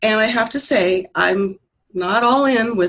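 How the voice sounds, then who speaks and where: A woman speaks in an ordinary speaking voice with a fairly high pitch. Her intonation is lively. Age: 60s. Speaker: online faith group member. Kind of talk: group discussion on a call.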